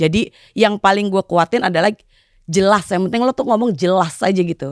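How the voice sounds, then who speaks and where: Fairly quick speech from a woman, a plain, everyday voice with ordinary pitch variation, dry and close with no echo, on a very clean recording with a silent background. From Indonesia, East Jakarta. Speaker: office worker with foreign clients. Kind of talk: casual chat.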